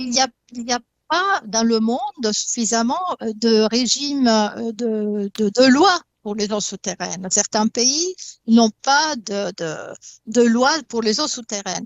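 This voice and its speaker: Speaking very slowly in an Italian accent, a woman uses a fairly high pitch and lively intonation. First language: Italian (speaking French). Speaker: hydrogeologist. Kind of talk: talk show debate. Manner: halting, many hesitations and repetitions.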